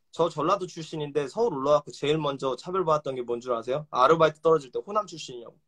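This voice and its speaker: Fairly high-pitched and animated, a man talks at a very fast pace with ordinary pitch variation. The sound is dry and close, with no echo. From South Korea, Suwon then Gunsan (Jeolla) in teens. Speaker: rapper. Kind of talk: heated debate.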